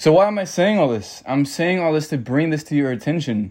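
A man speaks quickly in a normal speaking voice, with an American accent and a fairly high pitch. His pitch varies in an ordinary way, and the background is quiet. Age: 20s. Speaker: podcast host. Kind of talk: solo podcast monologue.

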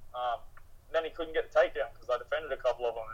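A man with an Australian accent. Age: 30s. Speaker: mixed martial arts fighter. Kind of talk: casual interview.

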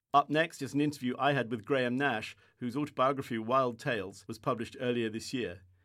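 A man speaks in a plain, everyday voice at medium pitch and a fairly quick pace, with hardly any pauses. His intonation is fairly even, and the recording is very clean, with a silent background. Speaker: publishing director and podcast host. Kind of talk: scripted presenting and interview.

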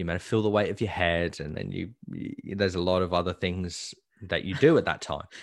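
A man talks at a fairly quick pace in a very deep, low voice. His intonation stays fairly even. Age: 20s. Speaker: podcast co-host and actor. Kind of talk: casual chat. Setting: video call.

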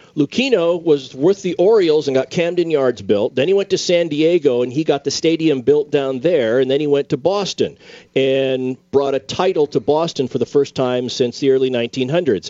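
A man speaks in a plain, everyday voice at a fairly high pitch and moderate pace, with ordinary pitch variation and hardly any pauses. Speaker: attorney, co-host. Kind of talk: casual legal discussion on radio. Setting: radio studio. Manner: jokey storyteller.

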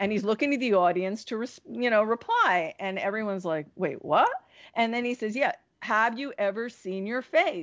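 A woman speaks with an American accent at a moderate pace. Her fairly high voice carries lively intonation. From New Jersey. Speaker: yoga teacher and magazine editor. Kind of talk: interview. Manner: animated.

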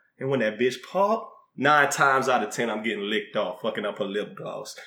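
This man speaks with a Southern US accent and a bright, sharp tone. His pitch swings very widely as he talks at a fairly quick pace. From US South. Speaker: podcast co-host and rapper. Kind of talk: casual chat.

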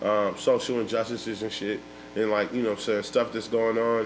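Behind a man speaking in a monotone, flat intonation, there is noticeable background noise. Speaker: rapper. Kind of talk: casual chat. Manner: laid-back, slangy, rambling.

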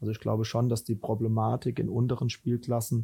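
A man speaks at a fairly quick pace, his pitch in the medium range. His tone is dark and mellow, and somewhat breathy. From Rhineland, Germany. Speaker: football head coach. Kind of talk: interview.

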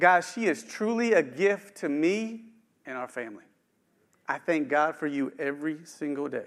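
A man with a slight West Virginia accent, fairly high-pitched, lively in intonation, at a moderate pace. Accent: slight West Virginia twang. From eastern Panhandle, West Virginia. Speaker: executive pastor preaching. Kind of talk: sermon. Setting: church with live stream.

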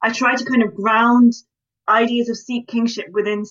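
A woman with a British accent, her pitch fairly high, her pace fairly quick. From Britain. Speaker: historian and author. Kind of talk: interview.

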